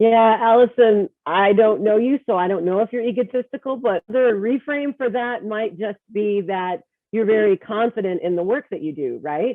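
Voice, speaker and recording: With an American accent and a plain, everyday voice, a woman of fairly high pitch speaks at a moderate pace with ordinary pitch variation and hardly any pauses. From Texas. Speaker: workshop presenter and leadership coach. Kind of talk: workshop presentation.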